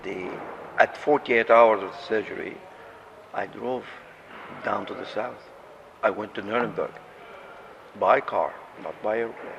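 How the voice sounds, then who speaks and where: With an Arabic accent, a man talks with long, frequent pauses and big swings in loudness over noticeable background noise. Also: moderate pace. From Jordan. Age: 70s. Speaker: patient and orthopedic surgeon. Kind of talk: interview testimony.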